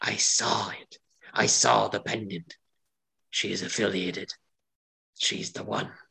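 A raspy, whispering put-on character voice from a man at a fairly slow pace.

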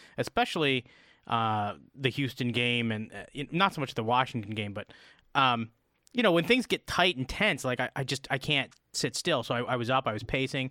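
A man's plain, everyday voice at medium pitch, moderate in pace, with a dry, close sound and no echo. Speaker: podcast co-host and producer. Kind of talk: casual sports chat.

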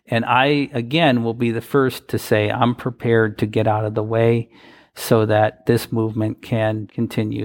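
A man with a medium-pitched voice speaks at a moderate pace in a plain, everyday voice. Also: fairly even intonation. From US Midwest, Wisconsin. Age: 40s. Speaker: advocacy organization president. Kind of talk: interview.

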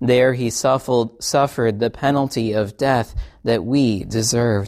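This man speaks at a moderate pace with fairly even intonation and a medium pitch. It is a normal speaking voice. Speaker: pastor. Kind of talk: liturgical prayer and absolution, service. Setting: church. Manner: solemn, reverent; fervent, earnest prayer.

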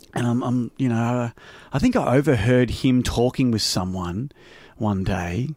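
A man with an Australian accent speaks fairly slowly at a medium pitch, with ordinary pitch variation. The recording is very clean, with a silent background. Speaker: podcast host. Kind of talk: casual interview chat; podcast outro. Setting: home studio.

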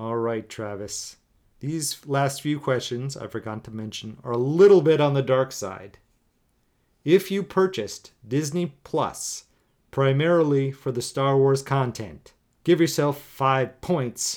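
An unremarkable speaking voice goes at a fairly slow pace with ordinary pitch variation. The recording is very clean, with a silent background. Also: man, fairly high pitch for a man. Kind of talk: game show host quiz-style banter, reading scored trivia questions with jokes.

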